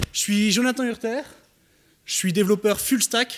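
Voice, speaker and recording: Speaking slowly-ish, at a fairly slow pace, a man with an Alsatian accent and a high pitch comes through on a very clean recording with a silent background. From Alsace, France.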